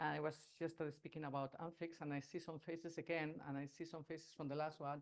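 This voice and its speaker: Here a man speaks with a Spanish accent. He keeps a moderate pace. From Spain, Basque. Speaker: agile consultant and speaker. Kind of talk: talk to a meetup audience. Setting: stage with audience, also streamed online. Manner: halting, many fillers.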